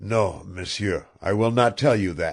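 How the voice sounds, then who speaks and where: In a raspy put-on character voice, a man with fairly low pitch speaks at a fairly slow pace with ordinary pitch variation. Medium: read story. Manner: taunting.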